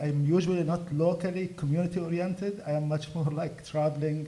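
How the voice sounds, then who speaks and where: Amid noticeable background noise and audible room echo, a man speaks in a fairly high pitch with monotone, flat intonation. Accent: Arabic. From Gaza, Palestine. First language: Arabic. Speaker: activist. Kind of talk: speech at a fundraiser event. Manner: halting.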